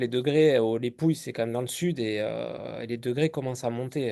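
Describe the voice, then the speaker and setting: A man talks at a fairly quick pace in a medium-pitched voice with a dark, mellow tone. His pitch varies in an ordinary way. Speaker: wine interviewer. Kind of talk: interview questions.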